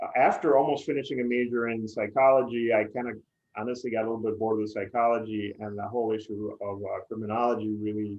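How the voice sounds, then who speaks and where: A man rattles along at a very fast pace in a monotone, flat intonation. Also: medium pitch for a man. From Puerto Rico, San Juan. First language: Spanish. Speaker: PR agency executive. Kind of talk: interview.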